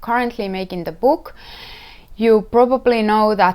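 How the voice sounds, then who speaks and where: A woman with a Finnish accent speaks at a fairly high pitch. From Finland. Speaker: knitwear designer and podcast host. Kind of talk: casual podcast talk. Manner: halting, searching for words; slow at times. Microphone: wearing a better-quality microphone.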